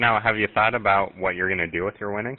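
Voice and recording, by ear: Fast-paced, a man speaks at a fairly low pitch with fairly even intonation.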